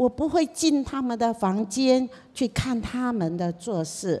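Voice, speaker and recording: Very slowly and with very wide pitch swings, a woman speaks at a high pitch in a very clean recording with a silent background. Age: old. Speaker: seminary dean and pastor's mother. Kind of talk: casual talk to a church congregation.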